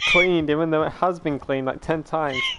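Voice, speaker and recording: A man with a British accent speaks at a moderate pace in a fairly high pitch, his pitch varying in an ordinary way, over noticeable background noise. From Britain. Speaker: gaming streamer. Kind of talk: casual chat. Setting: live stream.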